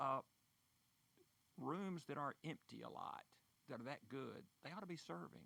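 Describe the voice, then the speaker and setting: Speaking at a moderate pace, a man uses a fairly high voice with vocal fry and very wide pitch swings. He leaves long, frequent pauses, and the sound is dry and close with no echo. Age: 70s. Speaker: church coffee house organizer. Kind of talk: radio interview.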